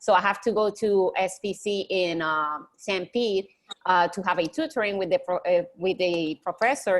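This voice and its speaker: Speaking with a Spanish accent, a woman shows ordinary pitch variation. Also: medium pitch for a woman, moderate pace. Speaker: college student. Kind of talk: online group discussion.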